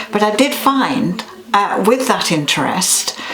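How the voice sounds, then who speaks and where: Amid noticeable background noise and audible room echo, a woman speaks at a fairly slow pace. Her medium-pitched voice has lively intonation. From Yorkshire, northern England. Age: 70s. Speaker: clairvoyant. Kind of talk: interview. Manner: hesitant, with many fillers and restarts.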